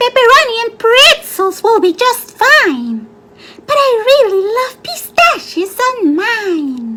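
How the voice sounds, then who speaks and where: A woman puts on a squeaky character voice at an extremely high pitch, cheerful and playful in tone. Her pitch swings very widely as she speaks at a fairly slow pace. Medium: read story. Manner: cheerful, playful.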